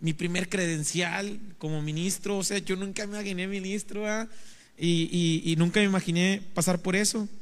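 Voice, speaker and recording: Speaking at a moderate pace, a man with a high pitch keeps a monotone, flat intonation. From Mexico, Veracruz. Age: 30s. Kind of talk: testimony. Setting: studio.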